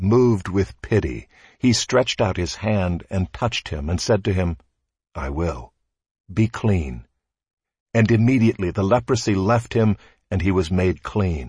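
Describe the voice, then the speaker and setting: A man with a very deep, low voice talks at a fairly slow pace, somewhat breathy and solemn in tone, with lively intonation. He leaves long, frequent pauses, and the background is quiet. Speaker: scripture reader. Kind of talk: scripture reading; liturgical reading in a prayer service. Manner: slow, measured, solemn; formal, reverent.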